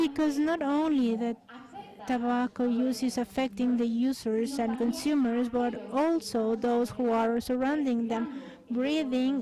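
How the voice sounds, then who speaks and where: Over noticeable background noise, a woman with a Mexican accent speaks at a fairly slow pace in a high pitch, her intonation fairly even and her loudness very even. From Mexico. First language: Spanish. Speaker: thoracic surgeon. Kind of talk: conference talk. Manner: halting.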